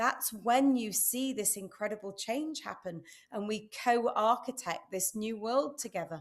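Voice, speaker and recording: Here a woman talks at a fairly high pitch. She has a British accent. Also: ordinary pitch variation, fairly slow pace, very clean recording, silent background. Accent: UK. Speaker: entrepreneur and speaker. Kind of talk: interview. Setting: live stream.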